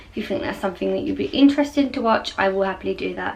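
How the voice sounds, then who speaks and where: A woman talks while background noise is clearly audible. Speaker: vlogger. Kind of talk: casual chat. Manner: soft-spoken.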